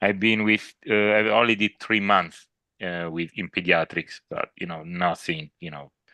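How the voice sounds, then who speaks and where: In an Italian accent, a man speaks with a very deep, low pitch and a bright, sharp tone against a quiet background, the sound dry and close with no echo. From Italy. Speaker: doctor. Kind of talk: casual chat.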